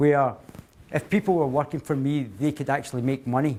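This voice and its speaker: In a strong Glaswegian accent, a man speaks with a dark, mellow tone. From Scotland, Glasgow. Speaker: company CEO, guest speaker. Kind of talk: talk to a university society. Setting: speech to a student audience. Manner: hesitant, many fillers and restarts.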